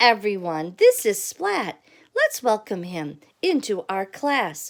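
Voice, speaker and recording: Using a put-on character voice that sounds female, the speaker talks fairly slowly at a medium pitch for a woman. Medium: read story. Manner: cheerful, teacherly.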